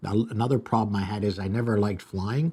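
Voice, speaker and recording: A man's fairly low-pitched voice with a Canadian accent, a dark, mellow tone, fairly even intonation and a moderate pace. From Canada, Toronto area. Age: 60s. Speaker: restaurateur and video host. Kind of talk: live stream monologue. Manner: casual, halting with fillers.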